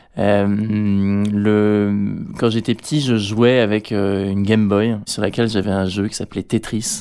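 The voice has a dark, mellow tone and monotone, flat intonation at a very slow pace. The recording is very clean, with a silent background. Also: man, fairly low pitch for a man. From Normandy, France. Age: 20s. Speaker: adventurer and author. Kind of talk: interview. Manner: hesitant, repeats words.

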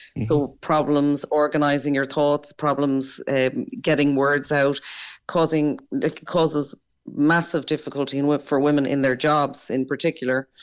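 A woman speaks in an Irish accent with a very deep, low pitch and monotone, flat intonation. Her loudness stays very even at a moderate pace. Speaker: doctor. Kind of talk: interview.

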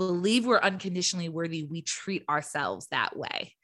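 With an American accent, a woman speaks in a bright, sharp tone and fairly even intonation. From Southern California. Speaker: clinical psychologist. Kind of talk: interview. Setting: video call.

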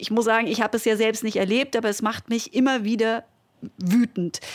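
It is a plain, everyday voice with fairly even intonation. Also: woman. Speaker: podcast host, former sports journalist. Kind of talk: interview.

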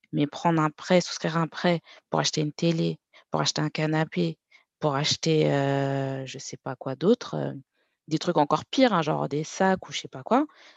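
Against a quiet background, a woman talks at a moderate pace, the sound dry and close with no echo. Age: 30s. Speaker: account manager and personal finance content creator. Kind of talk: interview.

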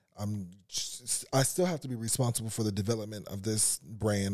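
A man with an American accent speaks in a fairly low pitch, his tone dark and mellow. The recording is very clean, with a silent background. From Los Angeles (Carson). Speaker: fashion designer. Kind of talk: casual interview chat.

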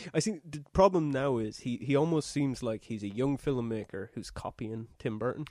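In an Irish accent, a man with a dark, mellow tone at medium pitch speaks at a moderate pace with lively intonation and hardly any pauses. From Ireland. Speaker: podcast co-host. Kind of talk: casual chat.

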